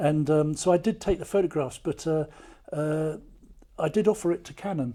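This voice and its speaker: A man speaks at a moderate pace with ordinary pitch variation and big swings in loudness. The recording is very clean, with a silent background. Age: 60s. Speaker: army veteran and war artist. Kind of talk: casual chat. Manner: halting.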